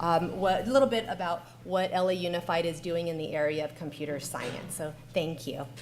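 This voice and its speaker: A woman talks fairly quickly, with audible room echo and noticeable background noise around her voice. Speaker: school district technology coordinator. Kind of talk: conference panel presentation.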